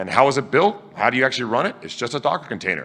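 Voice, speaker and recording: A loud man talks at a very fast pace in a bright, sharp tone. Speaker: tech conference speaker. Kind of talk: conference talk. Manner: animated.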